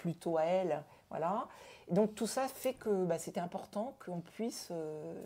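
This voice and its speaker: A woman speaks at a fairly slow pace, her medium-pitched voice dark and mellow in tone with ordinary pitch variation. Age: 60s. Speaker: family caregiver giving testimony. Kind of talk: interview testimony. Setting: at home. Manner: hesitant, many fillers and repetitions.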